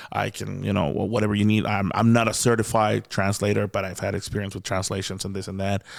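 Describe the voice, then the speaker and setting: A man with a Mexican accent talks at a very fast pace with hardly any pauses. His voice is fairly low in pitch and carries vocal fry. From Mexico. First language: Spanish. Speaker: comedian. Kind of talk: casual chat. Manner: animated; stammering repetitions.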